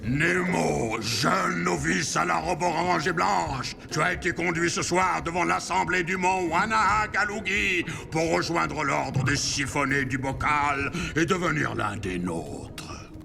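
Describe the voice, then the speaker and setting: A man speaks in a put-on character voice, pitched fairly high. His pace is fairly slow, with loud background noise. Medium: fan dub. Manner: calm, measured.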